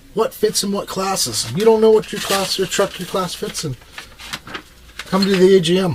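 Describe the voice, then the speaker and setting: Against noticeable background noise, a man with a high pitch talks fairly slowly with ordinary pitch variation. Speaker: RC truck hobbyist vlogger. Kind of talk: casual video monologue, tutorial. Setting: home workshop, furnace room.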